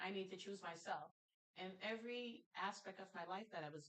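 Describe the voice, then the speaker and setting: The speaker has an animated tone and a slight Jamaican accent, talking at a moderate pace with ordinary pitch variation. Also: woman. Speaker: talk show host. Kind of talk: casual interview chat. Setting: studio.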